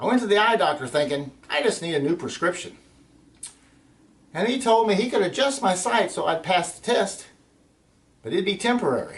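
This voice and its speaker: Amid noticeable background noise, the speaker uses lively intonation at a fairly quick pace, broken by long, frequent pauses. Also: man, high pitch for a man. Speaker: storyteller. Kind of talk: personal storytelling narration. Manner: calm, warm.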